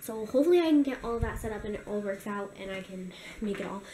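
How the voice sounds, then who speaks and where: Noticeable background noise surrounds a woman who speaks at a fairly quick pace. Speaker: daily vlogger. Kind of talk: casual vlog chat. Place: kitchen. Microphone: phone near.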